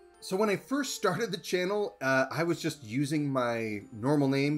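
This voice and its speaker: With music playing behind him, a man speaks at a moderate pace in a fairly high pitch. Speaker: artist and cartography video creator. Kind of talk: Q&A monologue. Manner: edited, with filler words.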